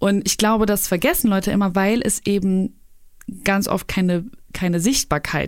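A woman's plain, everyday voice at a medium pitch and moderate pace. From Germany, Cologne. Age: 30s. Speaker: YouTuber. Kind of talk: casual interview.

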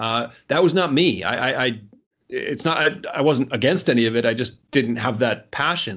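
Speaking in a plain, everyday voice, a man keeps a medium pitch with ordinary pitch variation at a moderate pace. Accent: American. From United States. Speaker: author and business consultant. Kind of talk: interview. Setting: remote call.

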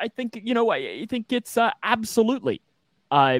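Very wide pitch swings from a man, in a dry, close sound with no echo. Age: 20s. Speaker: sports podcast host. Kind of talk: casual chat.

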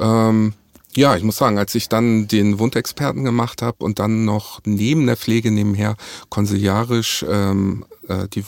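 A man with a fairly low voice talks fairly slowly, keeping his intonation fairly even. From northern Germany, Hamburg. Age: 40s. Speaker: nurse. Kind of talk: interview. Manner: halting.

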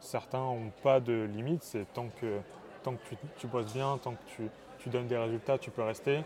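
This man has a normal speaking voice at a medium pitch. He moves at a moderate pace with fairly even intonation. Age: 20s. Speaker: engineering student and startup co-founder. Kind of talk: casual interview. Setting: startup incubator.

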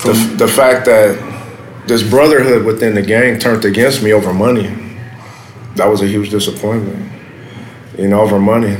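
A man with an American accent speaks in a fairly low pitch with fairly even intonation, very even loudness, and long, frequent pauses. The recording has audible room echo and noticeable background noise. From South Los Angeles. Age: 30s. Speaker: former gang member. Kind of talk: interview. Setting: café. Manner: halting, many fillers.

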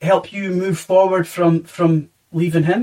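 A high-pitched man with a Scottish accent. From Scotland. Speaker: podcast host, hospitality worker. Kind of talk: casual interview chat.

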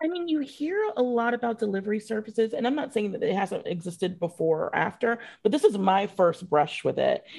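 A woman with a fairly high, somewhat breathy voice speaks with very wide pitch swings. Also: fairly quick pace. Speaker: magazine editor and podcast host. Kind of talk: casual interview.

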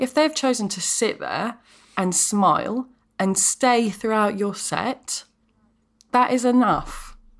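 A woman speaks at a very slow pace with a British accent, her pitch fairly high with ordinary variation. The recording is very clean with a silent background. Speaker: comedian. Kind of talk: casual chat. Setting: at home. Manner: clear, careful radio voice; animated.

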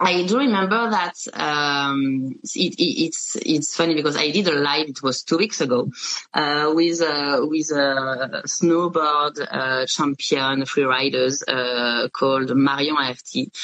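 A woman's very deep, low voice in a French accent, very slow with hardly any pauses, ordinary pitch variation, over noticeable background noise. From France. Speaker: podcast host, media founder. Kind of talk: interview. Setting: video call. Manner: halting.

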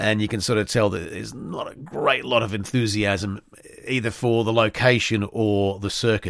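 In a very clean recording with a silent background, a man with an Australian accent speaks fairly quickly at a fairly low pitch. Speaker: motorsport podcast host. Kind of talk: solo podcast commentary. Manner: halting, many fillers.

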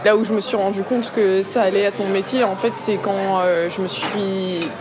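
A woman speaks at a medium pitch and moderate pace, with fairly even intonation. Audible room echo and crowd noise sit in the background. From Paris area (Vitry-sur-Seine). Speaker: musician and composer. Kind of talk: casual chat over lunch. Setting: restaurant.

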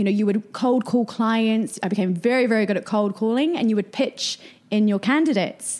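A woman with a New Zealand accent, fairly high pitch, ordinary pitch variation, very even loudness and a fairly quick pace. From New Zealand (rural Canterbury). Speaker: marketing and PR entrepreneur. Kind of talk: interview conversation.

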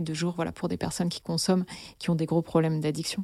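A woman's dark, mellow voice, fairly low in pitch, in a monotone, flat delivery, with dry, close sound, no echo, and a very clean, silent background. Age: 30s. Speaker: listener sharing personal story. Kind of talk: testimony.

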